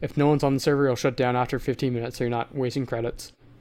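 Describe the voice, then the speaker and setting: A man's very fast, monotone delivery, flat in intonation, with a dark, mellow tone and medium pitch. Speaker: podcast co-host. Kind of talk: casual chat.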